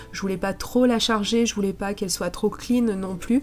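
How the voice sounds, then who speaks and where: Music plays in the background as a woman speaks at medium pitch and a moderate pace. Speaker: scrapbooking crafter. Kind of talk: tutorial voice-over narration.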